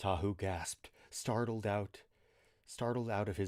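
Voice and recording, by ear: Fairly even intonation in a natural read-aloud voice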